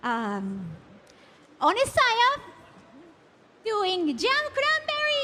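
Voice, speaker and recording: A woman with a Japanese accent uses a raised, projected voice at an extremely high pitch with ordinary pitch variation, speaking at a very slow pace with long, frequent pauses. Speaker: event emcee. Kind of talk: award announcement.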